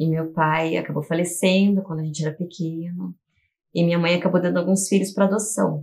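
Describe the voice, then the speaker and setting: A somewhat breathy woman speaks fairly quickly at a fairly low pitch. Her intonation is monotone and flat. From Curitiba, southern Brazil. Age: 40s. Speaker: teacher and artist. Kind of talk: documentary interview.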